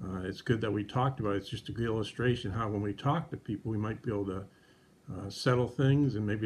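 At a very fast pace, the somewhat breathy voice keeps a fairly even intonation. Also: man. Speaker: presenter. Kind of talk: children's devotional teaching. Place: home room. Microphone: phone near.

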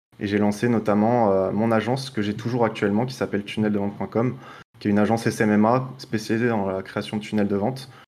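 Using an ordinary speaking voice, a man talks at a fairly quick pace and fairly low pitch with fairly even intonation. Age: 20s. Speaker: online marketing agency owner; podcast guest. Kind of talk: podcast interview. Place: home room. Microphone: webcam.

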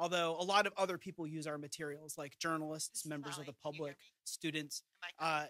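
Fairly quick speech with a bright, sharp tone, a dry sound with no echo and a quiet background. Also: man. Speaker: presenter. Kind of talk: briefing presentation. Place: hall. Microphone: podium.

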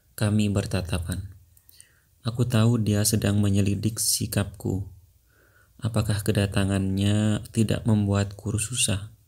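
A man with a fairly low pitch and a dark, mellow tone talks in a somewhat breathy, monotone, flat way at a very even loudness. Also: fairly slow pace. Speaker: audiobook narrator. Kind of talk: audiobook narration.

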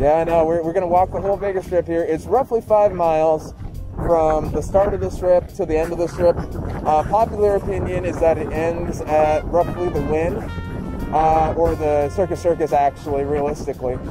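A man is heard with dry sound and no echo while clear music plays in the background. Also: ordinary pitch variation, moderate pace. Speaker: travel vlogger. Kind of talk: casual vlog chat. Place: street. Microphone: phone near.

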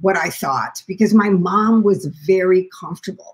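A woman speaks with an American accent at a fairly slow pace. The background is quiet. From US Midwest, Springfield, Illinois; Illinois. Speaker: documentary filmmaker and caregiver; guest. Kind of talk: interview conversation. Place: home room. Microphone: echo.

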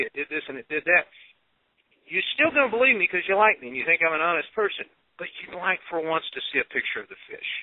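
A man with a Texan accent talks very fast in a high-pitched voice. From Texas. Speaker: paranormal talk show co-host. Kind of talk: casual panel discussion.

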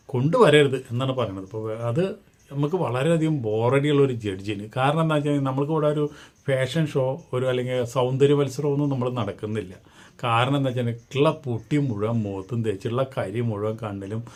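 This man's voice sits at a medium pitch with ordinary pitch variation. It is an unremarkable speaking voice. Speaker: gossip vlogger. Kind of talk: casual commentary monologue.

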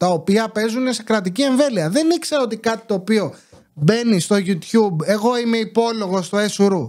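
Against a quiet background, a man with a high pitch talks in an animated tone at a moderate pace with ordinary pitch variation. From Greece. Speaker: YouTuber commentator. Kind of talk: casual monologue commentary. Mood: sarcastic, indignant. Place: home room. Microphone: studio mic.

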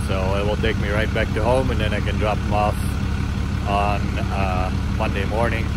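Loud background noise runs under the speech. The pace is moderate and the sound is dry with no echo. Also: man. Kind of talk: casual vlog chat. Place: waterside. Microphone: phone near.

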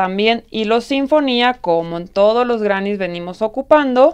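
Over a quiet background, a woman speaks at a fairly slow pace with ordinary pitch variation. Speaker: crochet tutorial host. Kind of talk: tutorial. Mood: warm, enthusiastic.

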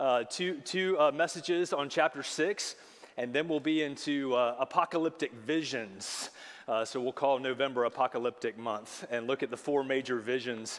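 A man's moderately paced speech shows ordinary variation in pitch. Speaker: pastor. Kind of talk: sermon. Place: church.

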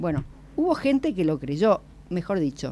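Her fairly low voice makes very wide pitch swings as the woman speaks at a fairly slow pace. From Buenos Aires, Argentina; Argentina. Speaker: radio co-host; radio panelist. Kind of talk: casual chat. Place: studio. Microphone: studio mic.

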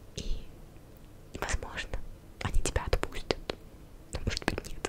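A woman is whispering. Her pace is fairly slow. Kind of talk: ASMR video. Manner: whispered.

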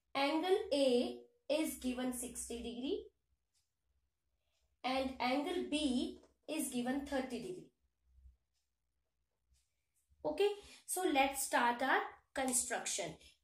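A woman speaks at a very slow pace, her pitch high, with long, frequent pauses. Audible room echo surrounds her voice. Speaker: teacher. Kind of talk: lecture. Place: home room.

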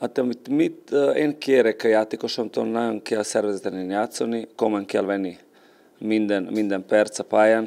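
A man speaks at a fairly slow pace. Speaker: football coach. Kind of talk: sports interview. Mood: calm, serious. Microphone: handheld.

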